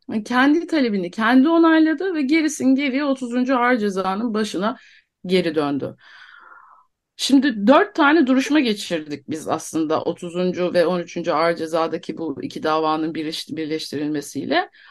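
A woman speaks with a fairly high pitch and very wide pitch swings. The background is quiet. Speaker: guest, wife of detained defendant. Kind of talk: radio interview.

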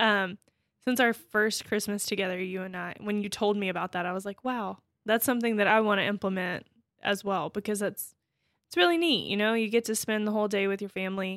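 A woman speaks at a medium pitch, varying it in an ordinary way. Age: 20s. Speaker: podcast co-host. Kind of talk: casual chat.

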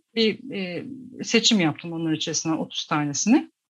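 A woman talks at a moderate pace, her intonation lively, in a quiet background. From Tokat, Turkey. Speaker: graphic designer and climate activist. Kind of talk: radio interview. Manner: hesitant, many fillers.

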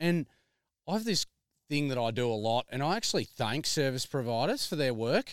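An Australian-accented man at a fairly quick pace, with lively intonation and very even loudness, on a very clean recording with a silent background. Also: medium pitch for a man, dry, close sound with no echo. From Melbourne, Australia. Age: 30s. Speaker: farmer. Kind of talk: casual chat. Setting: outdoors.

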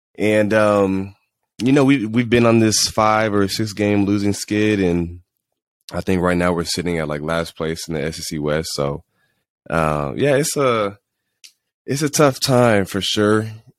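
On a very clean recording with a silent background, a man with a fairly low pitch talks at a fairly slow pace with lively intonation. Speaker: college football player and podcast host. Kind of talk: casual solo podcast. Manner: halting, many fillers.

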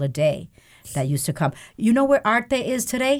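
A woman speaks at a moderate pace in a somewhat breathy voice. The recording is very clean, with a silent background. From Puerto Rico. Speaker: newspaper and radio executive. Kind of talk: casual interview chat.

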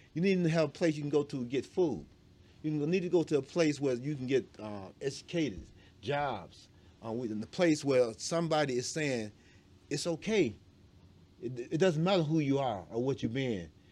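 On a very clean recording with a silent background, a man with an American accent talks at a moderate pace in a fairly high pitch, with a dark, mellow tone and lively intonation. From Alabama, later Detroit. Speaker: pastor. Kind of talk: interview.

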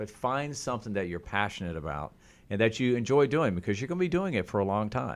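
In an American accent, a man races along at a very fast pace. His fairly low pitch moves in very wide swings. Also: very clean recording, silent background. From Oklahoma. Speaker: TV meteorologist. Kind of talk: interview. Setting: studio.

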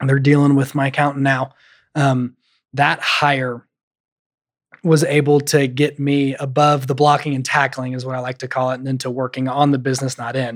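A man speaks in a flat monotone. The recording is very clean, with a silent background. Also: medium pitch for a man, moderate pace. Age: 20s. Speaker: property management business owner. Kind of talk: interview. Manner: halting, many fillers.

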